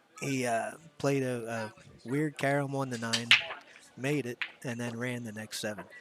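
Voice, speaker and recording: A man at medium pitch with an American accent, moderate in pace, monotone and flat, with long, frequent pauses over music in the background. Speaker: pool commentator, pool player. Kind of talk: live sports commentary. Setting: commentary booth with headphones.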